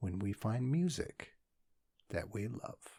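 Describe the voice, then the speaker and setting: A man puts on a character voice at a medium pitch. He goes at a fairly slow pace. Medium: read story.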